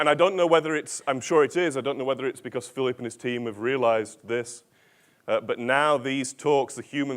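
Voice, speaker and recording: The recording is very clean with a silent background. A man with a plain, everyday voice speaks at a moderate pace with ordinary pitch variation. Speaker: organizational change consultant and author. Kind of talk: conference keynote talk. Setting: stage with audience and translators.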